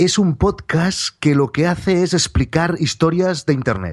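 Very slow delivery from a man, over a quiet background. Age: 30s. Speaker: journalist. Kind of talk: interview.

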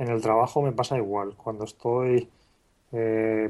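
A man speaks at a fairly slow pace with monotone, flat intonation. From Spain, Calpe (Alicante). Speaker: blogger and author. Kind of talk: interview.

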